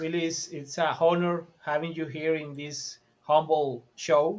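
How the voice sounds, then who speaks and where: The speaker has a Spanish accent. The pace is very slow. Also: man. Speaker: podcast host. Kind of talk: casual chat.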